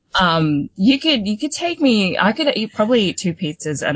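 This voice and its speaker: The voice carries an Australian accent at a fairly slow pace. Its pitch makes very wide swings. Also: woman. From Sydney, Australia (born in the Philippines). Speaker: showgirl competition finalist and youth leader. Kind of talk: interview.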